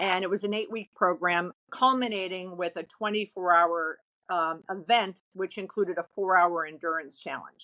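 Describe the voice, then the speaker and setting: A woman with a medium pitch and a bright, sharp tone speaks at a moderate pace with hardly any pauses. The sound is dry and close, with no echo. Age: 60s. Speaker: retail real estate business owner. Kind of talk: casual interview chat. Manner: animated, with many false starts.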